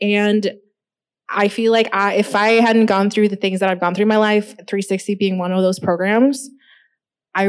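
On a very clean recording with a silent background, a woman with an unremarkable speaking voice talks at medium pitch and a moderate pace with ordinary pitch variation. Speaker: graphic designer. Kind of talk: panel discussion. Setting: stage with audience.

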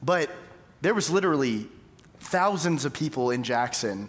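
Speaking in an unremarkable speaking voice, a man moves at a fairly quick pace and his intonation is lively. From East Texas, Tyler. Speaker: pastor. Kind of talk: sermon.

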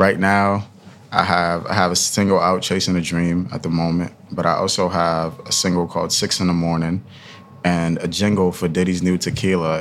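A man with a very deep, low voice speaks at a moderate pace in a monotone, flat way over noticeable background noise. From Ghana, then Queens New York. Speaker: student and musician. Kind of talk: casual interview chat. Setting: studio. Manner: relaxed, conversational.

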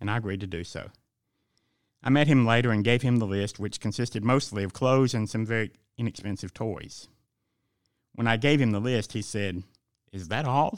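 On a very clean recording with a silent background, a man with a Southern US accent speaks at a fairly quick pace and medium pitch, leaving long, frequent pauses. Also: ordinary pitch variation. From Georgia, US South. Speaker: pastor. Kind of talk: devotional reading.

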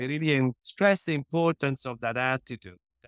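A man's fairly high-pitched voice in a dry, close sound with no echo. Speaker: peace diplomat and academic. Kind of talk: interview.

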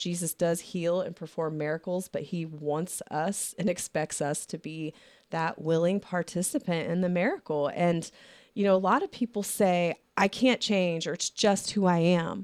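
A woman with a normal speaking voice, pitched fairly low, at a moderate pace. Her pitch varies in an ordinary way, and the recording is very clean with a silent background. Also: dry, close sound with no echo. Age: 40s. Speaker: podcast host. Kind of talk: casual chat. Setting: studio.

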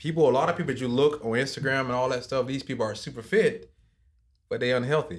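A man with ordinary pitch variation on a very clean recording with a silent background. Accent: American. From South Georgia, US. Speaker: gym founder. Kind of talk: casual interview chat.

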